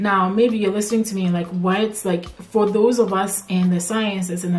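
Light background noise sits under a woman speaking with monotone, flat intonation. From Ghana. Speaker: PhD student turned researcher vlogger. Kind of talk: casual chat. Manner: conversational, with filler words. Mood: warm, reflective. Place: home room.

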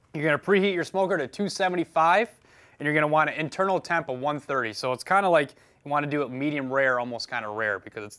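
Over a quiet background, a man speaks at a fairly quick pace in a bright, sharp tone. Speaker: firefighter cooking show host. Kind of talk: cooking tutorial. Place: kitchen.

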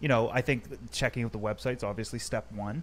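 A man talks at a fairly quick pace, his medium pitch showing ordinary variation.

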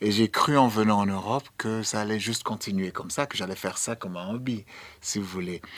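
Using a fairly low pitch and ordinary pitch variation, a man talks at a fairly quick pace. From Sierra Leone. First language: English (speaking French). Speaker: dancer and choreographer; guest. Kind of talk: radio interview. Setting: radio studio. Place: studio. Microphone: studio mic.

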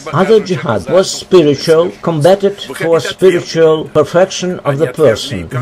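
The speaker is a man. He goes at a moderate pace over noticeable background noise. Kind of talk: explanatory commentary. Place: waterside.

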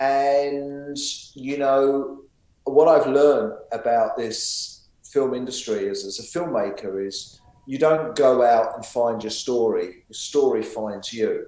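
Audible room echo surrounds a man who talks very slowly, with big swings in loudness and ordinary pitch variation. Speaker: guest. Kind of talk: interview answer. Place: home room. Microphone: video call.

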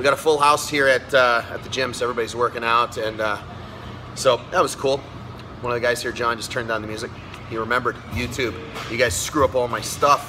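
Music plays in the background as a man speaks at a fairly quick pace. His intonation stays fairly even. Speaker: fitness coach. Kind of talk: tutorial. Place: gym. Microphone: phone near.

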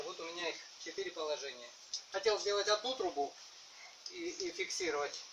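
Over noticeable background noise, a man projects a raised voice at a moderate pace with ordinary pitch variation. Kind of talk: casual vlog chat. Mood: humorous, self-mocking. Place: garden.

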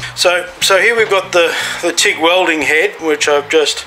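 A man speaks with fairly even intonation over music in the background. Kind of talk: tutorial explanation. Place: boat. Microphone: phone near.

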